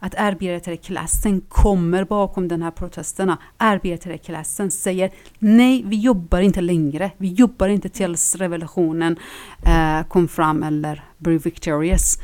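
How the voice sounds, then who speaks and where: A woman's speech moves fairly slowly, with ordinary pitch variation. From Iran. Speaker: Iranian feminist activist. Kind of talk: interview. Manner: halting, many fillers.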